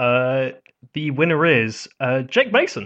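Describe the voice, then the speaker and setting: A man with a British accent speaks at medium pitch with ordinary pitch variation. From Britain. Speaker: podcast host. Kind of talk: casual chat.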